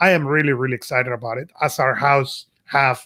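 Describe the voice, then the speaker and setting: Fairly even intonation in a Spanish accent. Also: man. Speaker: podcast co-host. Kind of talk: casual chat.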